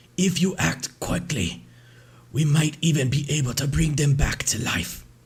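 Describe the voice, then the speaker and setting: A raspy, put-on character voice from a man, medium in pitch and fairly slow in pace. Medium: actual play.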